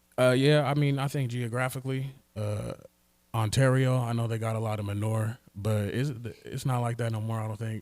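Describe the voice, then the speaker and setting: With an American accent, a man talks at a very fast pace and with fairly even intonation. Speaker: rapper. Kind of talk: casual chat. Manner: soft-spoken.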